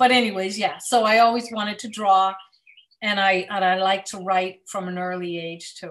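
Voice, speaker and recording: A woman speaks in an unremarkable speaking voice at a moderate pace. Her pitch is medium with fairly even intonation, but her loudness swings widely. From central Massachusetts. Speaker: children's author and illustrator. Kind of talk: casual interview. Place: home room. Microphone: video call.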